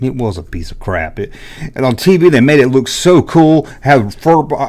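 The tone is animated, with a rural Southern US accent. The background is quiet. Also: man. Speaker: YouTuber, toy collector. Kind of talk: casual monologue. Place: home room. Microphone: studio mic.

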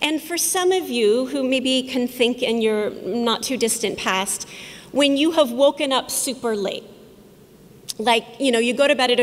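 Pitch varies in an ordinary way while the pace holds moderate. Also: woman. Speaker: conference speaker. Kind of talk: public talk. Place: hall. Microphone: podium.

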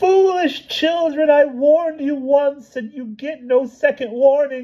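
In a put-on character voice, a man talks fairly slowly at an extremely high pitch. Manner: menacing.

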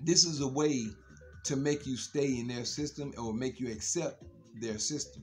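Faint music plays behind a man speaking at a fairly slow pace. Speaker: social media commentator. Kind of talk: casual vlog monologue. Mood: earnest, warning tone. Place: home room. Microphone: phone near.

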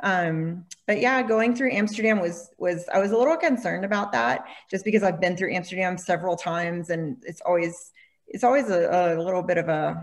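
A woman with a fairly low pitch and vocal fry talks at a fairly quick pace with ordinary pitch variation. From Alabama, Birmingham. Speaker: travel agency founder. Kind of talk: panel discussion.

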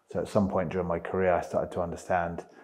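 Over a quiet background, a man speaks at a very fast pace. His very deep, low voice has a dark, mellow tone. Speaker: interview guest. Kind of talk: interview answer. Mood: reflective, earnest. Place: home room. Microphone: lapel.

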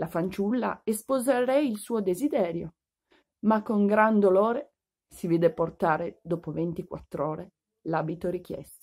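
A woman speaks in a warm, gentle tone at a fairly slow pace. The background is quiet. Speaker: audiobook reader. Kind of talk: fairy-tale audiobook reading aloud to children. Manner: warm, gentle storyteller's pace, clear and expressive; formal literary diction with a friendly children's greeting. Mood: warm, expressive narration. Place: home room. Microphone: phone near.

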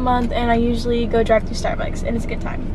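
Noticeable background noise accompanies a woman with a high pitch, in a dry sound with no echo. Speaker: vlogger. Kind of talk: casual vlog chat. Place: car. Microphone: phone near.

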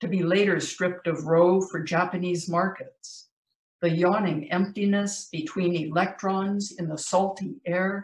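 Audible room echo surrounds a woman's somewhat breathy voice. She speaks at a fairly slow pace with fairly even intonation. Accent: American. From US. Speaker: poet. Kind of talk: poetry reading. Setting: video call. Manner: measured, vivid, dramatic delivery; conversational, light-hearted between poems. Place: home room. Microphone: video call.

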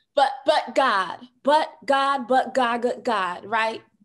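A woman's high, animated voice with an American accent, at a moderate pace with ordinary pitch variation in a quiet background. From New York City. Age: 30s. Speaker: social worker and podcast host; podcast host. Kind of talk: casual interview chat. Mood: emphatic, faith-inspired. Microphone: video call.

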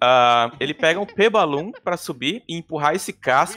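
Bright and sharp in tone, a man speaks at a fairly high pitch with lively intonation. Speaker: speedrun commentator. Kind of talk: live commentary. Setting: live stream. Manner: animated.

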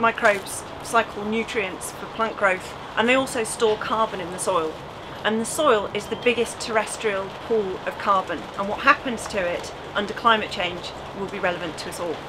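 Over noticeable background noise, a woman talks at a moderate pace with big swings in loudness. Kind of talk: explanatory interview piece to camera. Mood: enthusiastic, upbeat. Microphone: lapel.

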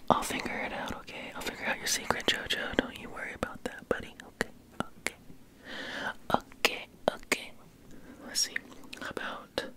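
Whispering at a moderate pace, a man leaves long, frequent pauses, and his loudness swings widely. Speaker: ASMR creator. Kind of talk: ASMR trigger words. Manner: whispered, soft-spoken. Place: home room. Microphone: studio mic.

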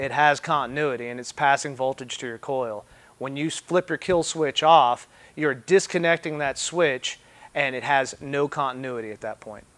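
With big swings in loudness, a man speaks at a moderate pace and ordinary pitch variation. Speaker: mechanic instructor. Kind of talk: tutorial. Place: workshop.

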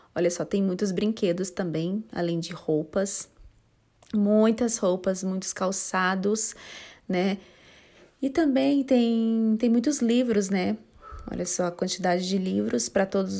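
A woman's dark, mellow voice at a medium pitch and very slow pace, with ordinary pitch variation, on a very clean recording with a silent background. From São José dos Campos, São Paulo state, Brazil. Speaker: YouTuber / vlogger. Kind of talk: vlog tour narration. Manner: casual, chatty.

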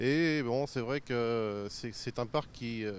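Over light background noise, a man speaks with ordinary pitch variation in a dry sound with no echo. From La Rochelle, western France; France. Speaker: local resident; local resident or reporter. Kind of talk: public statement to camera. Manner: halting. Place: garden. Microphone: handheld.

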